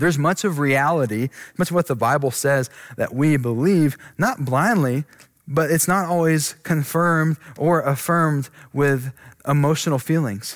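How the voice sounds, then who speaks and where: An ordinary speaking voice from a man, fairly high in pitch with very even loudness, moves at a moderate pace on a very clean recording with a silent background. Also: ordinary pitch variation. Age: 20s. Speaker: pastor. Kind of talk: sermon.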